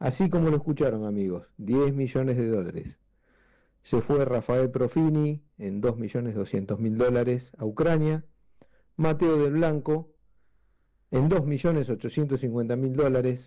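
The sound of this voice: A dark, mellow tone moves at a fairly slow pace with ordinary pitch variation. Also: man, medium pitch for a man.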